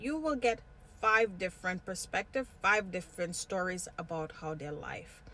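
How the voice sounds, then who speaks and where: Her voice bright and sharp, a woman speaks at a medium pitch with lively intonation. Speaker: vlogger. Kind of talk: personal vlog monologue. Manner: jumps between topics.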